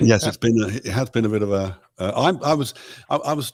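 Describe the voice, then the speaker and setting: Speaking with a British accent, a man swings his pitch very widely in a very clean recording with a silent background. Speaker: pop musician. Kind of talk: interview answer.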